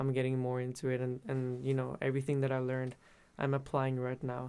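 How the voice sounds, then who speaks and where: This man speaks at medium pitch and a fairly quick pace. His loudness stays very even and his intonation is monotone and flat. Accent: Spanish. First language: Spanish. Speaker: musician. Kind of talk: interview. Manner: halting.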